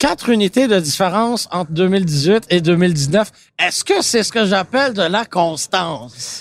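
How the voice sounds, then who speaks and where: Talking at a fairly slow pace, a man uses lively intonation at a high pitch. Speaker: car podcast host. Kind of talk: casual chat. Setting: auto show floor with public.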